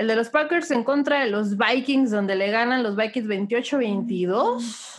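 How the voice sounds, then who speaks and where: Her pitch is high. The woman speaks at a fairly slow pace. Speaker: NFL podcast host. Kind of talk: casual sports chat. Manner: animated.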